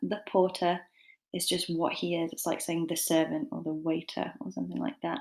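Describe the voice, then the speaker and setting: Very cleanly recorded against a silent background, a woman speaks with a British accent. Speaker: English literature tutor. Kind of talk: lecture. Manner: fast; casual, rambling with fillers.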